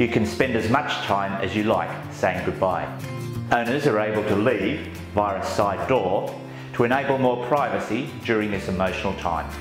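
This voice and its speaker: A man at a moderate pace, with clear music in the background and audible room echo. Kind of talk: guided tour presentation.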